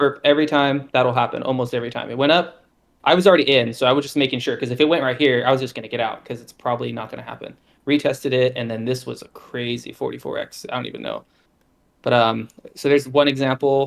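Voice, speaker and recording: At a very fast pace, a man speaks at a medium pitch with fairly even intonation and big swings in loudness. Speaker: crypto trading streamer. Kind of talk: screen-share trading tutorial.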